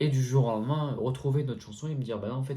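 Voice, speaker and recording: A man's somewhat breathy voice at medium pitch with a dark, mellow tone. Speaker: youtuber. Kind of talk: casual Q&A vlog. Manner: casual, hesitant with fillers.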